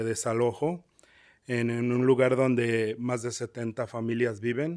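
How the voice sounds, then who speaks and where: In a strong Spanish accent, a man speaks at a fairly slow pace and a medium pitch with monotone, flat intonation. The recording is very clean, with a silent background. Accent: heavy Spanish accent in English. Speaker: public commenter, tenant. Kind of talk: public comment testimony. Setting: public meeting, council chamber. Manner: halting.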